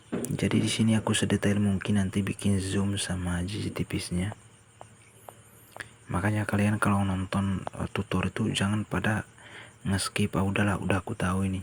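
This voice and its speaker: A man talks in a fairly low pitch with a monotone, flat intonation. His voice is somewhat breathy. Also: moderate pace. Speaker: video editing tutorial creator. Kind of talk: tutorial. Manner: casual.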